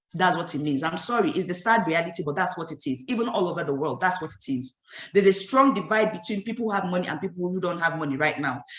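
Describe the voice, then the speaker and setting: The speaker races along at a very fast pace with lively intonation. Noticeable background noise runs underneath. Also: woman, fairly low pitch for a woman. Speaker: business trainer. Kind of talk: training talk. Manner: animated.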